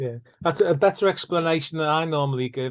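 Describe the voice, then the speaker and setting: With a northern English accent, a man speaks in fairly even intonation against a quiet background. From northern England. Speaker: mediator and podcast host. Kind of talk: casual interview chat.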